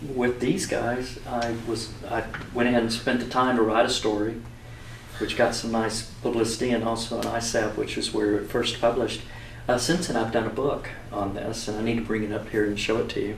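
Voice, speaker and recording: Speaking at a fairly quick pace and medium pitch, a man keeps a monotone, flat intonation over noticeable background noise and audible room echo. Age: 60s. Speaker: aviation photographer. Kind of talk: casual interview.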